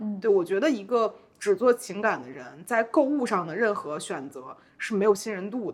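A woman's voice shows vocal fry, very wide pitch swings and big swings in loudness. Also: medium pitch for a woman, moderate pace. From Beijing. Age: 30s. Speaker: content creator. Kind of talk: casual interview.

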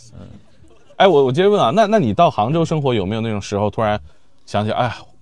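The speech moves at a very fast pace. Its pitch swings very widely. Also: man. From Shenyang, northeast China. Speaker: podcast host. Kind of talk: casual panel chat. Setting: outdoor stage with audience.

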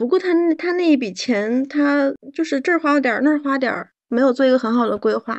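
Speaking fairly quickly, a woman uses a high pitch with ordinary pitch variation. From Northeast China. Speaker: podcast guest. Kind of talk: casual chat.

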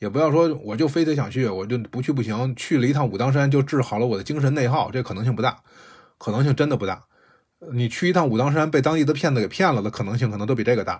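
Speaking at a very fast pace, the voice is somewhat breathy, with ordinary pitch variation and a very clean recording against a silent background. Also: man, medium pitch for a man. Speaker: podcast host recounting volunteer experience. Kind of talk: casual storytelling monologue. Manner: casual, digressive.

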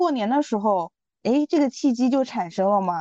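At a moderate pace, a woman with a fairly high pitch and a dark, mellow tone speaks with lively intonation, recorded with a dry, close sound with no echo against a quiet background. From eastern China (Jiangsu). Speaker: podcast guest. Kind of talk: casual chat.

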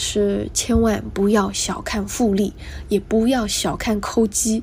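A soft-spoken woman at a very slow pace. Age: 20s. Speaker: podcast host, freelance writer. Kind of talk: solo podcast monologue, casual. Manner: soft-spoken, quiet; clear careful enunciation.

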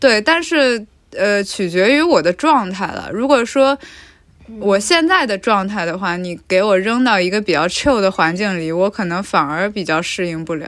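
Here a woman with a plain, everyday voice speaks at a fairly slow pace in a medium pitch, her intonation lively. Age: 20s. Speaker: podcast producer and host. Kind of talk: casual chat.

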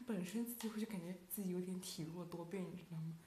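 With audible room echo and noticeable background noise, a woman talks at a very fast pace with lively intonation. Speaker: student podcast co-host. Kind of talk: casual chat. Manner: animated.

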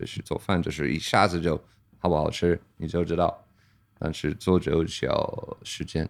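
This man speaks at a moderate pace with an English accent. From Pennsylvania, US. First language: English (speaking Chinese). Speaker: brewer. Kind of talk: casual interview chat.

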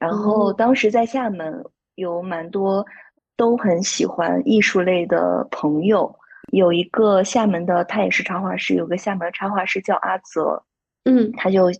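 A woman speaks at a fairly slow pace in a plain, everyday voice. Her pitch is medium, with ordinary pitch variation. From Shandong, China. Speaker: handmade plush toy brand founder and designer. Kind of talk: casual interview chat.

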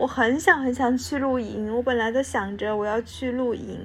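With music in the background, a woman with a fairly high pitch speaks at a fairly quick pace using fairly even intonation. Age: 20s. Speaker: podcast co-host. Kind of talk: casual chat.

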